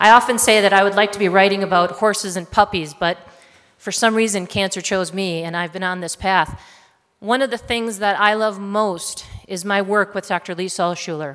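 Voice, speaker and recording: A woman's unremarkable speaking voice, fairly quick and fairly even in intonation. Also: medium pitch for a woman. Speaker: health writer and speaker. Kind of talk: talk to an audience.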